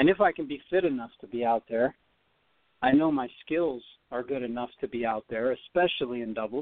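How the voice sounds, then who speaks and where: This man has a plain, everyday voice of medium pitch. He talks at a fairly quick pace with ordinary pitch variation. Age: 40s. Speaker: former tennis player training for a comeback. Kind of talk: radio interview.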